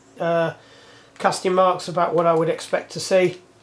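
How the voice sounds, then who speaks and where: Moderate pace in an English accent, with noticeable background noise. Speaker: bike mechanic. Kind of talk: workshop tutorial. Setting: workshop. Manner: loud.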